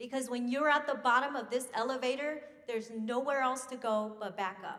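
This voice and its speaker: A woman's high pitch with fairly even intonation at a moderate pace. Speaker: business CEO, money manager. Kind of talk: banquet speech.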